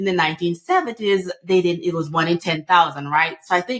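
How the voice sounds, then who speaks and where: A woman speaks with a Jamaican accent at a fairly quick pace. Her pitch is fairly low, with ordinary variation. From Jamaica, rural. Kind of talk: podcast interview.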